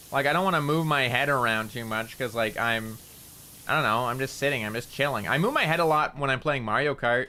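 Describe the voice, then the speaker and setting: Ordinary pitch variation at a fairly quick pace, over noticeable background noise. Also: man, medium pitch for a man. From Canada. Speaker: VTuber streamer. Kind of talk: casual gaming livestream chat. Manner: loud, careful enunciation.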